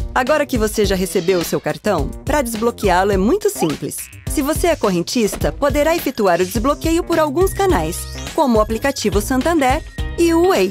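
Music plays behind a woman speaking at a moderate pace. Her high pitch makes very wide swings. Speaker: voice-over artist. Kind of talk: corporate tutorial narration. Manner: natural, conversational.

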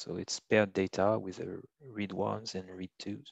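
Over a quiet background, a man's fairly low voice comes through flat and monotone, with a dry, close sound and no echo. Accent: French. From France. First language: French. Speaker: bioinformatics trainer. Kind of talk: tutorial. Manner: halting, many fillers.

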